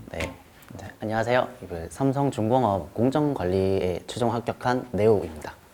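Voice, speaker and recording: A fairly low-pitched man at a moderate pace, his intonation lively. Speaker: job applicant, interviewee. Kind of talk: interview.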